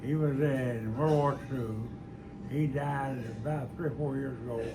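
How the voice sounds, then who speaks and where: A man with an Appalachian accent speaks fairly slowly at a medium pitch with fairly even intonation, amid noticeable background noise and audible room echo. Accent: Appalachian Kentucky. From eastern Kentucky. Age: 80s+. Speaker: retired school teacher. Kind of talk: oral history interview. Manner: halting.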